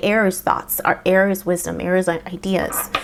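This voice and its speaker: A woman speaks at a moderate pace in a Spanish accent. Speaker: tarot reader. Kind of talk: tarot reading. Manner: halting, many fillers.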